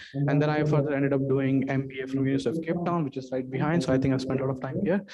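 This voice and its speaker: A man with an Indian accent and a fairly high voice of dark, mellow tone. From India, Delhi. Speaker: startup investor. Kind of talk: interview. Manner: halting.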